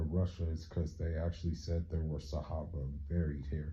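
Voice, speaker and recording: Very deep, low male voice with a dark, mellow, somewhat breathy tone at a moderate pace. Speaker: vlogger. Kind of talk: casual vlog monologue. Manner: halting, many fillers.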